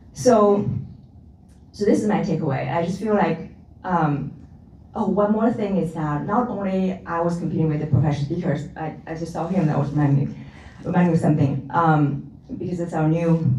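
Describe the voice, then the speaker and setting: A woman's fairly low voice, fairly quick, with ordinary pitch variation, audible room echo and noticeable background noise. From China. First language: not English. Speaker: panelist, professional speaker. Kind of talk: panel discussion.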